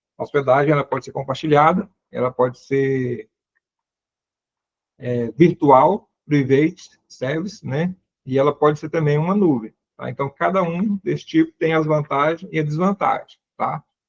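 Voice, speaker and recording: Somewhat breathy and fairly high in pitch, a man speaks with ordinary pitch variation in a dry, close sound with no echo. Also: moderate pace. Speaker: seminary lecturer. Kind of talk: lecture.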